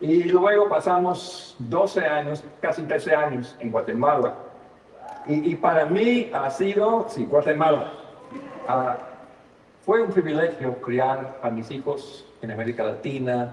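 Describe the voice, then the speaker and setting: Amid noticeable background noise and audible room echo, a man with an American accent speaks at a very slow pace in a fairly high pitch, leaving long, frequent pauses. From United States. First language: English (speaking Spanish). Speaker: pastor and seminary professor. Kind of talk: sermon. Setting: church service. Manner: halting, frequent fillers and repetitions.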